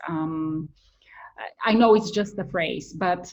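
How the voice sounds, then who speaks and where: A woman with a Bulgarian accent speaks very slowly at a medium pitch. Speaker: writer and content creator. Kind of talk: testimonial interview. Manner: hesitant with frequent fillers.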